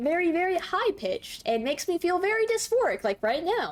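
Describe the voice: A put-on character voice, squeaky and fairly quick, with very wide pitch swings and very even loudness. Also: woman, extremely high pitch for a woman.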